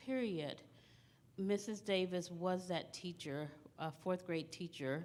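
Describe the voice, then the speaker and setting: Audible room echo accompanies a woman with an American accent who speaks at a medium pitch with ordinary pitch variation. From Texas, small town near Dallas. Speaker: school district administrator. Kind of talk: conference presentation.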